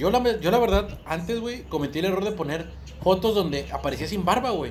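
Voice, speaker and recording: With a Mexican accent and a high pitch, a man talks at a fairly quick pace with ordinary pitch variation, amid audible room echo and noticeable background noise. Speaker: podcast co-host. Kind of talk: casual chat. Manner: animated.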